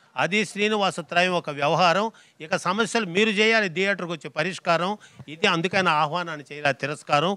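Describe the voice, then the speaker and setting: A man speaks in a raised, projected voice with a bright, sharp tone and ordinary pitch variation. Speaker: rhyming comedy speaker. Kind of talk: rhyming speech at a film event. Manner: humorous, rhythmic.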